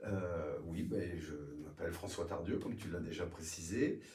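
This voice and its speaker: Somewhat breathy and very slow, a man talks with audible room echo. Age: 60s. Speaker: retired municipal police officer, local political candidate. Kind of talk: political interview. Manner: halting, many hesitations.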